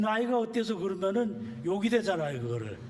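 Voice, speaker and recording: A man's high-pitched voice with audible room echo. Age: 70s. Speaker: church elder and amateur marathon runner. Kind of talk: personal testimony talk. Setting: church service. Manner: casual with frequent filler pauses.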